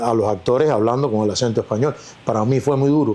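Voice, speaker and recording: His tone is dark and mellow, and the man keeps his intonation fairly even. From Cuba. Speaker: actor. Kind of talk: interview.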